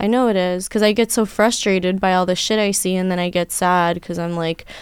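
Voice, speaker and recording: A woman with an American accent and medium pitch has an ordinary speaking voice. She speaks at a moderate pace with fairly even intonation on a very clean recording with a silent background. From New York. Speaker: adult film actress. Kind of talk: casual chat.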